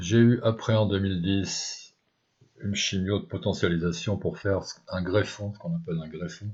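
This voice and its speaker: This man's somewhat breathy voice sits at a fairly low pitch, moving at a moderate pace with ordinary pitch variation. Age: 60s. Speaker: cancer patient sharing experience. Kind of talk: personal testimony. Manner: hesitant, with many fillers.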